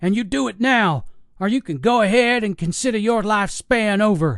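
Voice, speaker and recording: In a put-on character voice, a man talks with a raspy, high pitch, ordinary pitch variation and a moderate pace over a quiet background. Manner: hollering, threatening.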